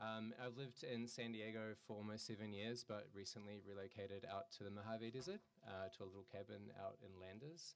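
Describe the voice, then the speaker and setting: With a New Zealand accent, a man talks at a fairly quick pace, his pitch fairly low with ordinary variation. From New Zealand, rural. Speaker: artist. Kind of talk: artist talk. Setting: gallery talk with audience. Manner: hesitant, many fillers.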